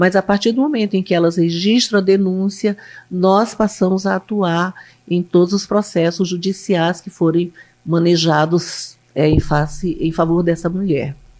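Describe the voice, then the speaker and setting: A woman uses a normal speaking voice at medium pitch. Her intonation stays fairly even and her pace is fairly slow. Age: 60s. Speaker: public defender. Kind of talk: interview.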